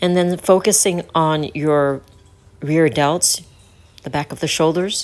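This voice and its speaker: A woman's fairly low voice in an American accent, very slow, with fairly even intonation, big swings in loudness and long, frequent pauses. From United States, North Carolina. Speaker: personal trainer and fitness instructor. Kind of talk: fitness instruction video to camera. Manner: clear, instructive.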